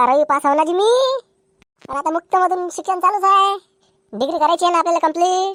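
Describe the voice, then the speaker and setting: In a cartoonish character voice, a woman squeaks at an extremely high pitch and a moderate pace, with a dry, close sound and no echo. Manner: rushed, crude, excitable.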